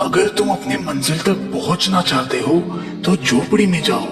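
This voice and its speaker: In a cartoonish character voice, a man talks at a moderate pace with slight echo and clear background noise. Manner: earnest, instructive.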